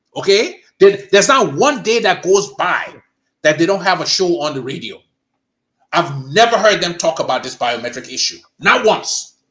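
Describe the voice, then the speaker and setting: A high-pitched male voice with very wide pitch swings, an animated, bright and sharp tone, and a moderate pace. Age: 60s. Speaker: political commentator. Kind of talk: heated debate.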